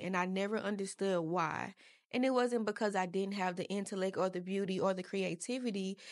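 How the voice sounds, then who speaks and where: Against a quiet background, a normal speaking voice moves at a fairly quick pace with fairly even intonation. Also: woman. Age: 20s. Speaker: podcast guest sharing personal story. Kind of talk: personal testimony. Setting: podcast studio.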